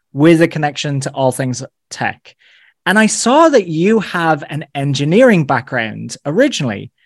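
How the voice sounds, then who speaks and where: In an Irish accent, a man with a fairly high pitch talks at a fairly slow pace with lively intonation. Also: very clean recording, silent background. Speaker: podcast host. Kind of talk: interview.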